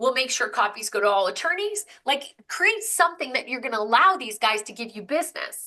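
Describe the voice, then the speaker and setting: Bright and sharp in tone, a woman's raised, projected voice sounds animated. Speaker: business coach. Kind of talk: webinar presentation. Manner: fast.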